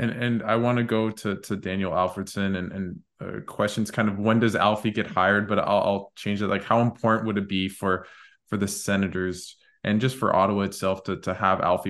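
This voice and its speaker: Over a quiet background, the words come at a fairly quick pace with a monotone, flat intonation. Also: man. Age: 20s. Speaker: podcast host. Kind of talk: casual interview.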